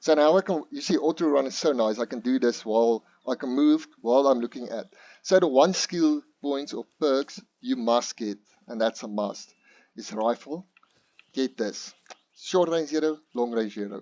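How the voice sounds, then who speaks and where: Using a non-native accent, a man speaks at a medium pitch and moderate pace with ordinary pitch variation. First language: not English. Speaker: gaming youtuber. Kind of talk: gameplay tutorial. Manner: halting, many fillers.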